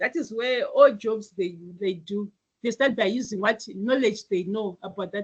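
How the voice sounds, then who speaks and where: A woman speaks in a fairly high, somewhat breathy voice. Her pitch varies in an ordinary way. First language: not English. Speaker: IT teacher. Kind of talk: online class lecture. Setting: online video class. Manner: hesitant, with fillers and restarts.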